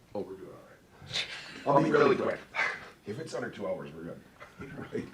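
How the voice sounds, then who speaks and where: Audible room echo hangs around the voice of a man as he talks. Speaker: village board president. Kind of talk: public meeting announcements. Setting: board room meeting. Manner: casual, conversational.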